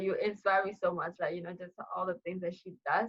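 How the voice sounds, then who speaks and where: A woman in a Burmese accent at a fairly quick pace. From Myanmar (Kachin community). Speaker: international student, future teacher. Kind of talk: casual interview chat.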